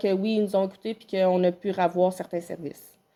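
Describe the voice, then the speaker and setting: Dark and mellow in tone, the voice moves at a fairly quick pace with monotone, flat intonation. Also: woman. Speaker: municipal council chair. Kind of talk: public meeting Q&A. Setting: town council meeting. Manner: hesitant, many fillers.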